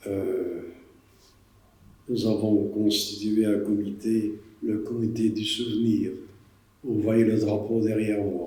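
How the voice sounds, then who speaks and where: A man speaks very slowly with a fairly low pitch and a dark, mellow tone, somewhat breathy. His intonation is monotone and flat, and there is audible room echo. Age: 80s+. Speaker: war witness. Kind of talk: testimony.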